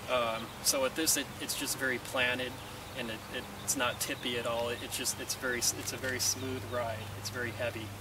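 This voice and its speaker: A man speaks at a fairly quick pace with a dry sound and no echo. Noticeable background noise runs behind him. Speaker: tractor owner reviewer. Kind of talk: casual review talk. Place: garden. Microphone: camera far.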